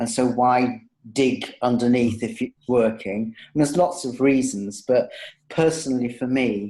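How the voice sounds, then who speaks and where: A man speaks in a normal speaking voice at a medium pitch. His intonation is fairly even. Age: 60s. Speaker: psychotherapy supervisor and author. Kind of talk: interview. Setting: interview.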